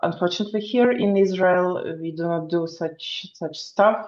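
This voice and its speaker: Fairly low female voice with a non-native accent and fairly even intonation. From Ukraine. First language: not English. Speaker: equestrian student. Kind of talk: online meeting chat. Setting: video call. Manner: halting.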